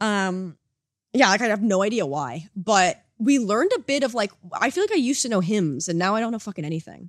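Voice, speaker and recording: Speaking at a fairly quick pace with lively intonation, a woman with an American accent is heard in a dry, close sound with no echo. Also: medium pitch for a woman, very clean recording, silent background. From United States. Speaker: podcast co-host. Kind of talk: casual chat.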